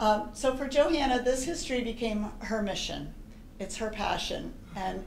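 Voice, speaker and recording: There is audible room echo and light background noise as a woman speaks at a moderate pace with ordinary pitch variation. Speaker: presenter. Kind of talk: formal introduction to an audience. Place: hall. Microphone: handheld.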